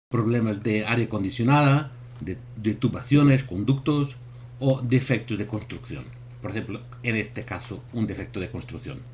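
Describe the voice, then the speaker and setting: Vocal fry runs through a man's speech, delivered at a moderate pace. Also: medium pitch for a man, ordinary pitch variation. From Portugal. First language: Portuguese (speaking Spanish). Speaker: thermography expert presenter. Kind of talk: webinar presentation. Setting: online webinar. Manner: halting.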